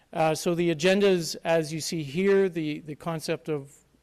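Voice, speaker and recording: A normal speaking voice with a Canadian accent, at a moderate pace with fairly even intonation, in a very clean recording with a silent background. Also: man. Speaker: conference speaker, consulting firm partner. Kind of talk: conference presentation. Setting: stage with audience.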